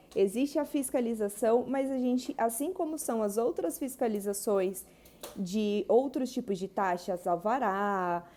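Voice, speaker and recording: A woman's fairly high, dark and mellow voice with lively intonation at a fairly slow pace. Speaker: wedding planner. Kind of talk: live stream Q&A. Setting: Instagram live.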